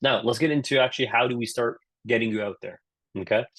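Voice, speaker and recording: Against a dry, close sound with no echo, a man with a Canadian accent talks at a very fast pace in a medium pitch, with an animated tone and ordinary pitch variation. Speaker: career coach. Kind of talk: webinar talk. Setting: virtual session. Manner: animated, casual.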